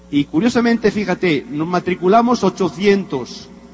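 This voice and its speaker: A man's voice with lively intonation. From Spain (Madrid). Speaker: motivational speaker, former executive. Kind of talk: motivational talk. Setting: stage with audience. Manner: animated.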